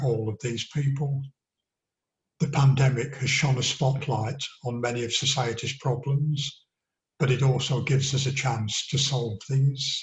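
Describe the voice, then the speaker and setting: Speaking in a flat monotone, a man with an English accent has a medium-pitched, somewhat breathy voice. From northern England, Accrington. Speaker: local election candidate. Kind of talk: campaign address.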